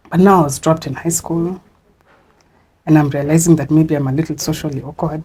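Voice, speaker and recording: Her very deep, low voice is dark, mellow and somewhat breathy, rushing at a very fast pace in a flat monotone broken by long, frequent pauses. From Zimbabwe. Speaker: guest sharing life story. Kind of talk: interview testimony. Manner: conversational, code-switching to Swahili.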